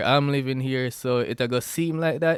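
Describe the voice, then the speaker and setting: The speaker has a Jamaican accent and keeps a moderate pace with fairly even intonation. The sound is dry and close, with no echo. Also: man. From Jamaica, Westmoreland. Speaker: podcast host. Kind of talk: casual solo podcast talk. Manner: halting, many fillers and restarts.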